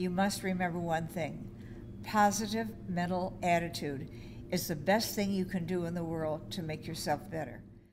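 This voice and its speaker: A woman speaks at a moderate pace with a fairly low pitch, vocal fry and lively intonation, and audible room echo surrounds her voice. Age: 80s+. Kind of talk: interview testimony. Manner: halting, repeats words.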